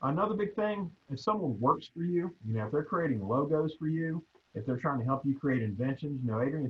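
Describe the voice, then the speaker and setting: A man talks at a fairly quick pace. His fairly high voice is somewhat breathy. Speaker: patent attorney. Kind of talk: presentation. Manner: fast.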